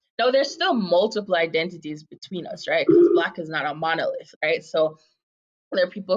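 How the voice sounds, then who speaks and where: The background is quiet. A woman talks in an American accent. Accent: slight American-sounding accent over Jamaican. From Jamaica. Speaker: advocacy nonprofit co-director. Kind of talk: podcast interview.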